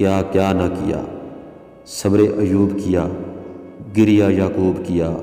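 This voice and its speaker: The man's voice is very deep and low, with monotone, flat intonation. Music plays behind him. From Azad Kashmir, Pakistan. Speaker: voice-over artist. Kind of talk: religious story narration.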